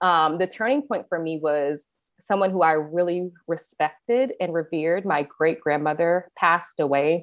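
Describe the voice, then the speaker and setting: Against a quiet background, a woman with an ordinary speaking voice talks at a moderate pace, her fairly low pitch showing ordinary variation. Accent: American. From US Midwest and California (Kansas City, San Diego). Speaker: food blogger and creative director. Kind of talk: casual interview chat.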